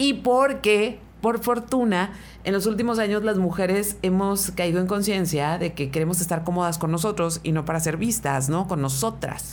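With a northern Mexican accent, a woman speaks at a medium pitch and moderate pace, with lively intonation, very even loudness and audible room echo. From Mexicali, Baja California, Mexico. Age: 40s. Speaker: radio host. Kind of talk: casual chat. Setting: studio.

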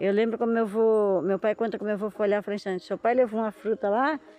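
Music plays in the background as a woman talks at a very fast pace, the sound dry and close with no echo. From Brazil, São Paulo coast (Ilha de Búzios, caiçara community). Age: 50s. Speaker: fisherwoman and artisan. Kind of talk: casual chat. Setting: outdoors.

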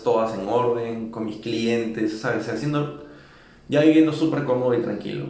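Audible room echo surrounds a man's medium-pitched voice. He keeps a moderate pace with lively intonation. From Peru, Lima. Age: 20s. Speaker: musician. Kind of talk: interview.

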